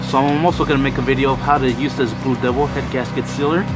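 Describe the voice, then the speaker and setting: Speech moves at a fairly quick pace, with a dry sound and no echo. Music plays in the background. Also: man. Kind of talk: tutorial. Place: garage. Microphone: phone near.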